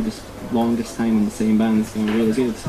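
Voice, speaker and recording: Noticeable background noise under a monotone, flat intonation. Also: man. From Poland. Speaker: rock band guitarist. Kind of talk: casual interview.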